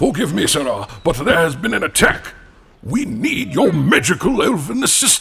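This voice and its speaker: The voice is a put-on character. Its pace is moderate. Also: man, high pitch for a man. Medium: audio drama. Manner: formal, deferential.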